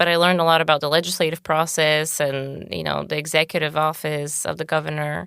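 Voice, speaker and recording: A woman with a Bulgarian accent speaks at a moderate pace in a very deep, low voice, bright and sharp in tone yet flat and monotone, on a very clean recording with a silent background. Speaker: podcast guest. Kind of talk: interview.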